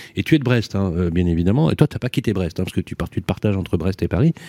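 A man with a very deep, low pitch and a dark, mellow tone uses lively intonation, recorded dry and close with no echo. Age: 50s. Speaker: radio host. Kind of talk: radio panel discussion. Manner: animated.

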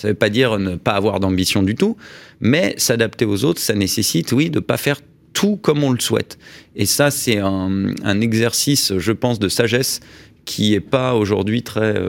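On a very clean recording with a silent background, a man with a normal speaking voice talks at a moderate pace in a fairly low pitch, with ordinary pitch variation and very even loudness. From Paris, France. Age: 40s. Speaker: business leader. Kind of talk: radio interview. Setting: radio studio.

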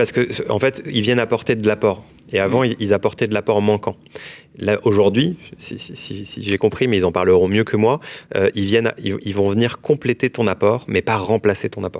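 A man with an ordinary speaking voice talks at a moderate pace, his fairly low pitch held in fairly even intonation. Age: 30s. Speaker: mortgage broker entrepreneur. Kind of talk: interview.

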